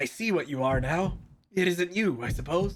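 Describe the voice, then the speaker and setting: Using a put-on character voice, a man speaks quietly at a high pitch with a hissing sound. His loudness stays very even and his pace moderate. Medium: game stream. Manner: cold, clipped and emotionless.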